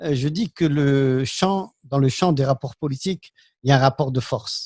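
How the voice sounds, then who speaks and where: A somewhat breathy man speaks at a moderate pace with a fairly high pitch and ordinary pitch variation. The sound is dry and close with no echo, over a quiet background. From Algeria. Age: 60s. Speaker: political commentator. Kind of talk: panel discussion. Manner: hesitant.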